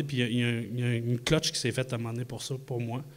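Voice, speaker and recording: This recording is very clean, with a silent background. A man speaks at a medium pitch, his intonation fairly even. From Quebec City. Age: 40s. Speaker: magician. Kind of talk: live podcast talk before audience. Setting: stage with audience in a microbrewery.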